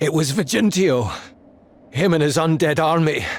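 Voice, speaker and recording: This man is doing a put-on character voice. It sits fairly high for him, at a moderate pace. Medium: video game.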